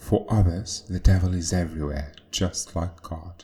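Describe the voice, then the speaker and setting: Very slowly, a man speaks in a very deep, low pitch with a dark, mellow tone, somewhat breathy and with ordinary pitch variation. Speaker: video essayist. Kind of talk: scripted narration.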